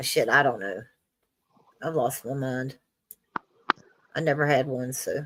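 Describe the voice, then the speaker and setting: A fairly slow pace marked by long, frequent pauses. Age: 60s. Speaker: streamer. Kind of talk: casual chat. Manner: halting.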